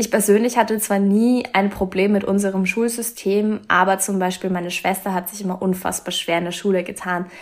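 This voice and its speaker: Speaking at a moderate pace, a woman holds a medium pitch with a monotone, flat intonation. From Austria, Vienna. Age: young. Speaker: author and medical student. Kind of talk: casual interview.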